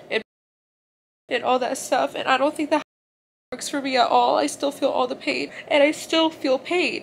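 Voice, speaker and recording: Light background noise sits behind a woman speaking at a moderate pace. Her high voice keeps a fairly even intonation. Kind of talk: emotional vlog confession. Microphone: phone near.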